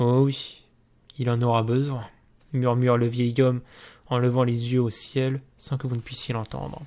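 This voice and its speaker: Slow-paced and marked by long, frequent pauses, a man speaks in a monotone, flat intonation with a medium pitch and a dark, mellow tone. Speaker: gamebook reading youtuber. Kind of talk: reading aloud; casual chat.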